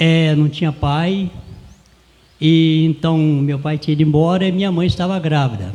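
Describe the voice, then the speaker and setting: His somewhat breathy voice has a dark, mellow tone, fairly high pitch and fairly even intonation, moving at a moderate pace. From Brazil, interior of Rio de Janeiro state (Porciúncula). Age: 70s. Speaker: cordel poet and folia de reis singer. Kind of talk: interview, personal life story.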